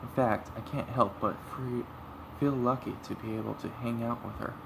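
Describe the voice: Raspy and full of vocal fry, this man's medium-pitched voice moves at a moderate pace with fairly even intonation.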